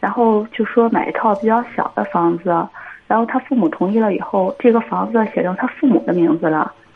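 Against noticeable background noise, a woman with a fairly high pitch talks at a fairly quick pace with lively intonation. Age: 30s. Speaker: caller seeking marriage advice. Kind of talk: phone-in advice call. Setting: phone call.

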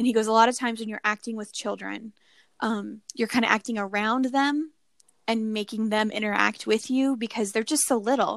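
In a plain, everyday voice, a woman speaks at a fairly high pitch with fairly even intonation. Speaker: podcast co-host. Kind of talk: casual chat.

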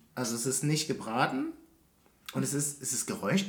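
Using vocal fry, a man speaks at a fairly slow pace with very wide pitch swings. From Berlin, Germany. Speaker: podcast co-host. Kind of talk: casual chat.

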